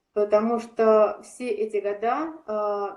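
This woman has an unremarkable speaking voice, a fairly high pitch and fairly even intonation. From Saint Petersburg, Russia. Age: 40s. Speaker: athlete and fitness coach. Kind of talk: interview.

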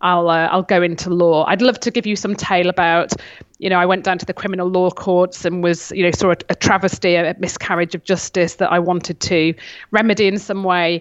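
A woman at a fairly quick pace, her intonation monotone and flat. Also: medium pitch for a woman. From Cheshire, northwest England. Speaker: lawyer and author. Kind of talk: interview chat.

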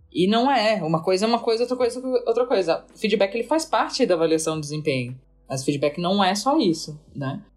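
Over music in the background, a woman talks at a very fast pace. Her intonation is lively. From Santa Catarina, Brazil (Florianópolis). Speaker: agile and organizational culture consultant. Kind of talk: casual podcast conversation.

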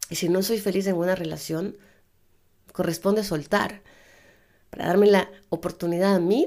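A woman's fairly low voice carries audible vocal fry. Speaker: life coach and podcast host. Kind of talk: solo self-help podcast monologue. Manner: casual, conversational.

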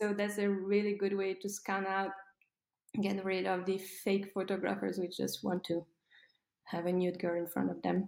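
The voice comes in a French accent at a moderate pace. Its intonation stays flat and monotone. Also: woman, medium pitch for a woman. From France. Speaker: fine art model and former ballet dancer. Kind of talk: interview.

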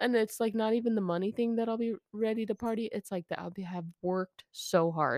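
A normal speaking voice with an American accent talks at a fairly quick pace with hardly any pauses, in a dry, close sound with no echo. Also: woman, fairly high pitch for a woman, ordinary pitch variation. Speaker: podcast co-host. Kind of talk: casual banter. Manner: joking, playful.

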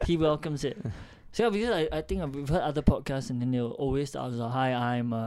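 On a very clean recording with a silent background, a man talks at a fairly quick pace. His pitch variation is ordinary.

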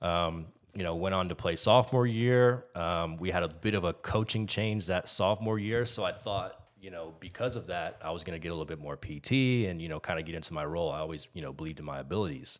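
A man with an American accent speaks at a very fast pace and a very deep, low pitch, with ordinary pitch variation. The recording is very clean, with a silent background. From Texas. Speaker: podcaster, former college basketball player. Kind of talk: casual chat.

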